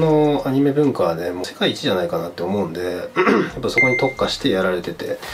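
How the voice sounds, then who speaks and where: A man speaks very fast. Behind him, music can be heard. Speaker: tattoo enthusiast youtuber. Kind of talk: casual vlog chat. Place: home room.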